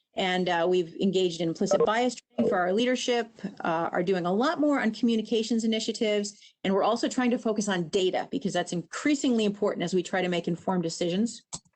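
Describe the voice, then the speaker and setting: A woman speaks at a very fast pace in a medium pitch. Her loudness stays very even, and her pitch varies in an ordinary way. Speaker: government agency official. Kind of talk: presentation at a public meeting.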